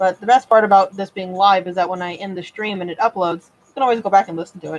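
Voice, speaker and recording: Speaking at a very fast pace, a woman shows big swings in loudness. The sound is dry and close, with no echo. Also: medium pitch for a woman. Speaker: model horse customizer. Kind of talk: live stream tutorial. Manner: casual, with fillers.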